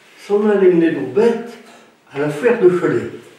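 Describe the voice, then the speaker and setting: Very slow speech amid noticeable background noise. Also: man. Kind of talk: dialect folk tale telling.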